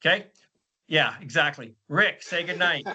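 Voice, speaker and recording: A loud man at a moderate pace. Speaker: podcast host. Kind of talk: casual panel chat. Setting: video call.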